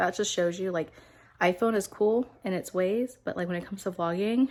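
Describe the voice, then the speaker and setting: Speaking at a moderate pace, a woman has a medium pitch. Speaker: vlogger and nursing student. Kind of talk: casual vlog. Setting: at home. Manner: animated.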